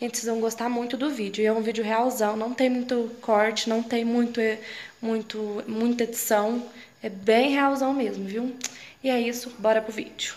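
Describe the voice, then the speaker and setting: A woman's fairly high voice, flat and monotone, at a moderate pace. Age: 20s. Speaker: rural life vlogger. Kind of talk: casual talk to camera. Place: home room. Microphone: phone near.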